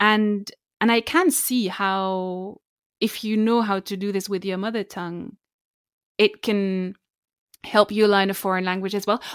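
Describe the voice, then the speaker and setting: A woman with a German accent speaks at a medium pitch and a fairly slow pace. Her intonation stays fairly even, broken by long, frequent pauses. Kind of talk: casual chat. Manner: laughs often.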